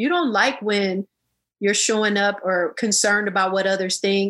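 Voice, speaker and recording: With an American accent, a woman talks at a moderate pace and medium pitch. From Illinois, US. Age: 40s. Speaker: yoga teacher and psychologist. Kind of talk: interview. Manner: animated.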